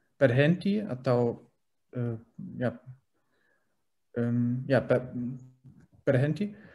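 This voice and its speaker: A man's medium-pitched voice with a German accent, dark and mellow in tone, lively in intonation, at a very slow pace with long, frequent pauses. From Germany. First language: German (speaking Indonesian). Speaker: language learner. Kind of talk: interview. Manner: halting, many fillers.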